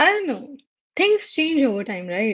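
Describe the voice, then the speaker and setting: A somewhat breathy woman with an Indian accent, in a dry, close sound with no echo. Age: 20s. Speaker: livestream host, microbiology researcher. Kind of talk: casual livestream chat. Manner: halting.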